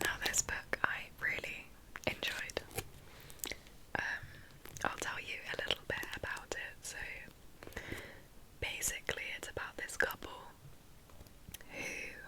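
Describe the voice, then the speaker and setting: A woman whispering at a fairly slow pace, with long, frequent pauses and noticeable background noise. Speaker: ASMR creator. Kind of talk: ASMR book chat, whispered. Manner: soft-spoken, slow, whispering.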